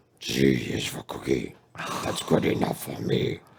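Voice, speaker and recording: A man's put-on character voice, very deep and low, growling and raspy, at a moderate pace. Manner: metal, growly.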